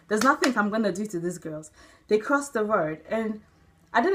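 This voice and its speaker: Her fairly high voice moves through very wide pitch swings as the woman speaks. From Nigeria, moved to New Zealand as a young child. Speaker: vlogger. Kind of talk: personal opinion vlog. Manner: animated, emotional.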